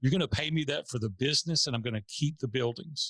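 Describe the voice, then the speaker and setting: A man with a Tennessee accent speaks at a fairly quick pace with lively intonation and a bright, sharp tone, recorded very cleanly against a silent background with a dry, close sound and no echo. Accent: Southern US (Tennessee). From US South, Nashville, Tennessee. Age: 50s. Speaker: entrepreneur. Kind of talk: interview storytelling.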